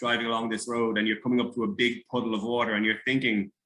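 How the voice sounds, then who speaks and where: A man speaks in an Irish accent at a medium pitch. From Ireland. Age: 30s. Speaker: former soldier. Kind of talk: interview. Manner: halting.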